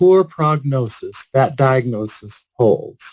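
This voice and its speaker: A man speaks with a somewhat breathy, fairly high-pitched voice and lively intonation. The sound is dry and close with no echo. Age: 60s. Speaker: palliative care physician. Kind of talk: keynote speech.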